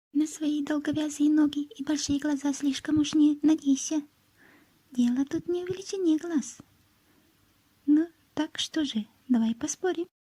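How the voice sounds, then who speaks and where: Female-sounding put-on character voice, squeaky and high-pitched, at a moderate pace with long, frequent pauses. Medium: read story. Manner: lively.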